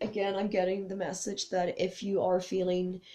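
A woman with a somewhat breathy, dark, mellow voice at medium pitch speaks at a moderate pace in a monotone, flat intonation. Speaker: tarot and oracle card reader. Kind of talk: spiritual card reading with read-out card texts. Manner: warm and soothing; occasionally stumbling over words.

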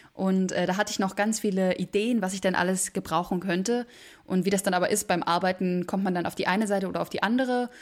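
The recording is very clean, with a silent background. A woman of medium pitch talks at a very fast pace with fairly even intonation. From Berlin, Germany. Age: 20s. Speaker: musical theatre performer. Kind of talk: interview.

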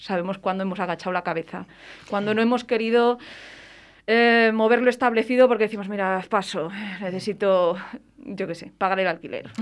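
Using fairly even intonation, a woman with a medium pitch speaks at a fairly quick pace broken by long, frequent pauses. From Valladolid, Spain. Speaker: stage actress. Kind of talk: radio interview.

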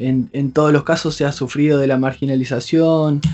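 A man with a Rioplatense accent speaks at a moderate pace in a fairly high voice. His intonation is fairly even, with music in the background. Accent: Argentine (rioplatense) Spanish. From Argentina, Entre Ríos province (small town). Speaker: doctoral researcher and musician. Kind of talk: interview. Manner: hesitant, many fillers.

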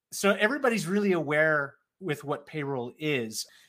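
The man's tone is bright and sharp, with ordinary pitch variation at a moderate pace. The recording is very clean, with a silent background. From South Florida, Puerto Rican background. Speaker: accounting community lead at payroll software company. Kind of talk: casual interview.

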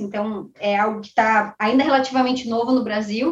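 A woman speaks at a fairly high pitch and a fairly quick pace in a monotone, flat intonation. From southern Brazil, Caxias do Sul, Rio Grande do Sul. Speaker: sales executive. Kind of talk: casual interview.

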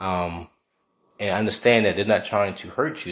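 On a very clean recording with a silent background, a man speaks in a plain, everyday voice at a moderate pace with a fairly low pitch. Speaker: guest, host's husband. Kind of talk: casual conversation.

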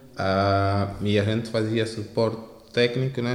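Over noticeable background noise and audible room echo, a man speaks with a fairly low pitch. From Angola, Luanda. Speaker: tech entrepreneur, startup founder. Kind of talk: interview. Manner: halting.

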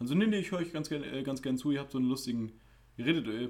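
The man's pitch swings very widely. He speaks at a very fast pace. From Germany. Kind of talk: casual chat. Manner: animated.

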